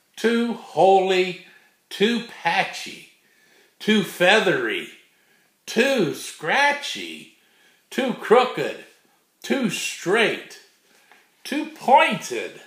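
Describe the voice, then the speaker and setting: Speaking at a very slow pace with long, frequent pauses, a man uses an extremely high pitch, very wide pitch swings and a gentle, playful tone, with audible room echo over a quiet background. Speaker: grandfather reading children's books aloud. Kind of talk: bedtime storybook read-aloud for small children. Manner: gentle, unhurried grandfatherly reading with playful rhythmic repetition; warm, folksy sign-offs with a God bless. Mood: warm, playful. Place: home room. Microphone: webcam.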